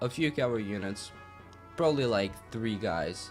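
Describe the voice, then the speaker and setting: A man's fairly low voice with lively intonation at a moderate pace, music in the background. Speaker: gaming let's play host. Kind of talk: casual gameplay commentary.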